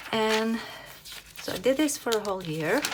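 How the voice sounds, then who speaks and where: In a very clean recording with a silent background, a woman of medium pitch speaks with a Norwegian accent. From Norway. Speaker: planner hobby youtuber. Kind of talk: casual tutorial flip-through. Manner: halting, many fillers.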